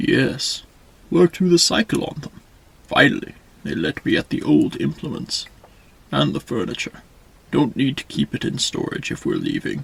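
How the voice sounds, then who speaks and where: A man's put-on character voice, broken by long, frequent pauses. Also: moderate pace. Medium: read story. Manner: terse, few words.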